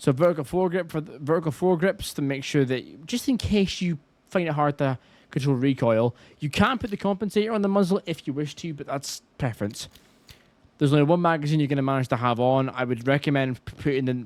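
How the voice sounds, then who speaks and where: A man with a Scottish accent talks at a very fast pace, his pitch fairly high and his intonation lively. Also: very clean recording, silent background. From Scotland. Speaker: gaming YouTuber. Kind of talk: gameplay tutorial commentary. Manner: casual.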